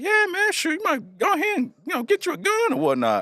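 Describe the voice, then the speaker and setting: A man puts on a character voice at an extremely high pitch. He moves at a fairly quick pace. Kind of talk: casual, street slang.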